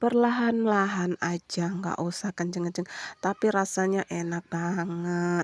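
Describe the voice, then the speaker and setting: A woman with a fairly low pitch talks at a fairly slow pace, the sound dry and close with no echo. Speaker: massage therapist vlogger. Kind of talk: tutorial. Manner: casual, chatty.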